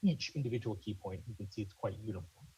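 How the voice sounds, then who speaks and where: A somewhat breathy man's voice, fairly low in pitch, with ordinary pitch variation. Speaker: conference presenter. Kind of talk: technical presentation. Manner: fast; halting, many fillers.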